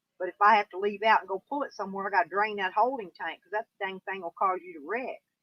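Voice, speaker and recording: With a Southern US accent, a woman speaks at a fairly quick pace. Her pitch is medium, with ordinary variation. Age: 60s. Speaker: YouTuber. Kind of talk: live stream chat. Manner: casual, rambling pace with fillers.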